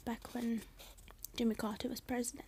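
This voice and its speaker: The speaker is soft-spoken, with a British accent. The pace runs fairly quick. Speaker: ASMR reader. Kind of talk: reading aloud. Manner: halting.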